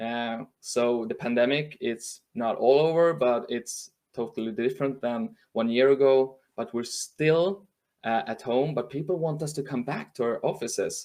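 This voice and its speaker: A man with a Swedish accent speaks at a fairly slow pace, his medium pitch showing ordinary variation. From northern Sweden. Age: 40s. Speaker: journalist and trend speaker. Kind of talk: webinar talk. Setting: live stream from home. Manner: halting.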